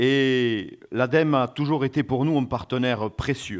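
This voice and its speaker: Recorded very cleanly against a silent background, a man with a southern French accent speaks at a medium pitch and a very slow pace. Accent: Occitan French. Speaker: regional tourism official. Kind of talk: conference welcome speech. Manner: hesitant, frequent filler 'euh'.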